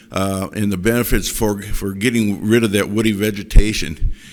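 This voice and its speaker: A man's fairly low voice with an American accent at a moderate pace, in a very clean recording with a silent background. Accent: Wisconsin accent, noticed by others. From Wisconsin. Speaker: cattle rancher. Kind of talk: panel presentation. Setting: conference stage with audience. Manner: halting, many fillers and repeats.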